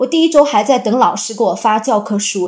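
A woman with an unremarkable speaking voice talks at a moderate pace and a fairly high pitch with lively intonation. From Jilin, northeast China. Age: 30s. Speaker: teacher. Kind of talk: personal testimony.

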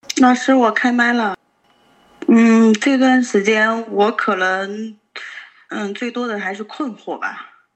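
Very slowly and with long, frequent pauses, a woman speaks at a fairly high pitch with ordinary pitch variation. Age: 30s. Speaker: group participant sharing emotions. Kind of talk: casual chat. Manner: halting.

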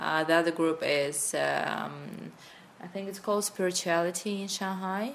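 The speaker has a Russian accent and a moderate pace. Pitch variation is ordinary. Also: woman, fairly low pitch for a woman. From Russia, Sakhalin Island (Russian Far East). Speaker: NLP coach and corporate trainer. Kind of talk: interview.

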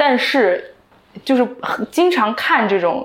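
Noticeable background noise runs behind this woman's voice. She speaks at a fairly slow pace. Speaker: entrepreneur. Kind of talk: casual chat. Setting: small recording studio.

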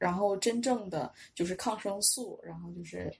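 This woman talks with a Northeastern Chinese accent at a medium pitch. Her voice is somewhat breathy, with ordinary pitch variation. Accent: Northeastern Mandarin. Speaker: Chinese language teacher with pharmacy and medical degrees. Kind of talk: casual interview chat.

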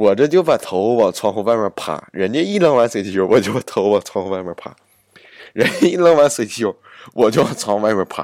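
A man with medium pitch and lively intonation talks at a fairly quick pace in a dry, close sound with no echo. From Northeast China, Jilin. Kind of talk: casual monologue. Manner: animated.

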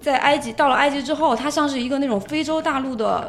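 With audible room echo and noticeable background noise, a woman speaks at a moderate pace in a high pitch with ordinary pitch variation. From China. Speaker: world traveler and goods trader. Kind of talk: casual chat.

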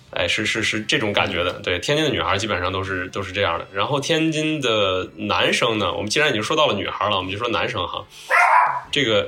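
Talking very fast with lively intonation, a man with a fairly low pitch is heard over noticeable background noise. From Tianjin, China. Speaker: graphic designer and podcaster. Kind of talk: casual chat. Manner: halting, with frequent repetitions and fillers.

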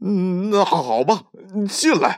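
A man's put-on character voice, high-pitched and slow, with lively intonation on a very clean recording against a silent background

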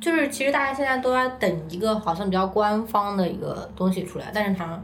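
Noticeable background noise and audible room echo fill this recording. A woman talks at a fairly quick pace in a medium pitch with ordinary pitch variation. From China, Hunan. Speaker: staff writer. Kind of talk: casual chat.

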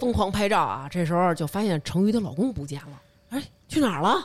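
Against noticeable background noise, a woman with a northern Chinese accent speaks at a moderate pace in an animated tone with lively intonation. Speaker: podcast host. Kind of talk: casual chat.

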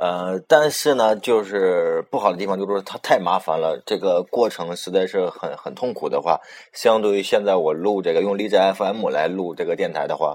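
A man speaks at a moderate pace with hardly any pauses. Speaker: amateur internet radio host. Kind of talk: casual solo radio talk. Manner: occasional stumbles and filler sounds.

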